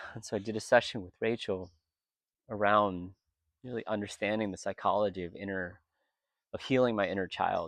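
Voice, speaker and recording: Over a quiet background, a man with a fairly low voice talks at a fairly quick pace with fairly even intonation, big swings in loudness, and long, frequent pauses. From US, Vietnamese American. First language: Vietnamese. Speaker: retreat participant. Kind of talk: testimony. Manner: reflective, emotional.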